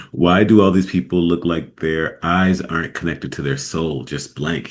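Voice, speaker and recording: This man speaks with a very deep, low pitch and hardly any pauses. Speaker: radio host. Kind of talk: casual commentary. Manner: casual, hesitant.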